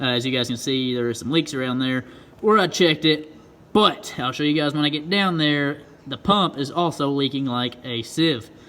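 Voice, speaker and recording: Noticeable background noise surrounds a man who speaks at a fairly high pitch with ordinary pitch variation. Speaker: diesel truck YouTuber. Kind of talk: casual vlog tutorial. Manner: fast; casual, filler-heavy.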